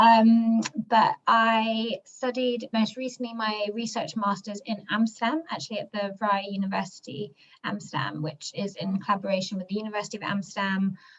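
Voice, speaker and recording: A woman's fairly high voice with ordinary pitch variation and a moderate pace. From born in London, grew up in the US. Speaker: global health NGO worker, mentee. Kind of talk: self-introduction in video webinar.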